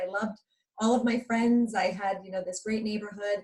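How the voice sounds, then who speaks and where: A woman speaks with a New York accent. Her intonation is monotone and flat. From New York, Long Island. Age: 40s. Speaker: motivational speaker. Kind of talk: interview.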